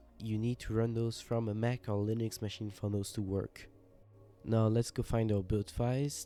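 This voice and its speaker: Music plays in the background. A man talks at medium pitch and a moderate pace with fairly even intonation. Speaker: game engine contributor. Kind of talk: software tutorial narration.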